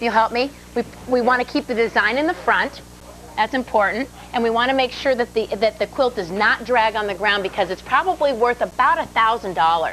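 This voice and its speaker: The pace is fairly quick. Noticeable background noise runs underneath. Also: woman. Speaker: TV home decorating show co-host. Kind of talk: casual on-air demonstration. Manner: loud.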